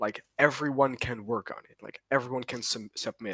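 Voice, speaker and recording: A man with a non-native accent at medium pitch and a moderate pace, in a dry, close sound with no echo. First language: not English. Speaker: podcast host. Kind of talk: casual chat. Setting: recorded at 3am.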